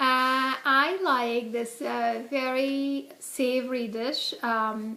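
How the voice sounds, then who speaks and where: In a raised, projected voice, a woman speaks at a very slow pace with a high pitch, a bright, sharp tone and fairly even intonation. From India. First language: Hindi. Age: 40s. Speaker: interviewee, immigrant parent. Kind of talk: casual interview. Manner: many fillers (um, uh).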